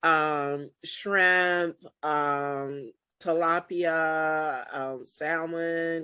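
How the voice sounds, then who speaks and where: Very slowly and in a monotone, flat intonation, a woman talks with a very deep, low pitch over a quiet background. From US South, South Carolina. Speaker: wine importer and show host. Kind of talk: casual chat.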